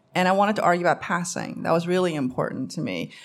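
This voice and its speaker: The speech comes very fast. It carries a New York accent. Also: woman. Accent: New York American English. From US Northeast, Queens, New York. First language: Korean. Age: 50. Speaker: novelist. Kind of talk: live panel discussion. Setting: stage with audience.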